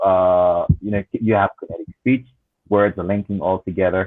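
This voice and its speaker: This man has an ordinary speaking voice with a fairly low pitch. He talks at a moderate pace. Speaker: language teacher. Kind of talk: panel discussion.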